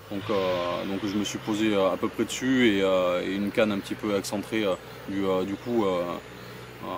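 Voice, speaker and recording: Noticeable background noise sits behind a man whose fairly low voice stays flat and monotone. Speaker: carp angler vlogger. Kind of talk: casual outdoor vlog commentary. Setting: outdoors by a lake. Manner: halting, many fillers and repetitions.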